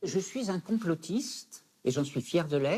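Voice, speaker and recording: Taking a fairly slow pace, a man talks in a dark, mellow tone. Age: 70s. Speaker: psychosociologist. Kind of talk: interview testimony.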